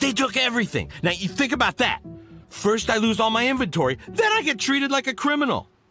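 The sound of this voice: Over faint music in the background, a man uses a put-on character voice at an extremely high pitch, with big pitch swings, a bright, sharp tone and a fairly quick pace.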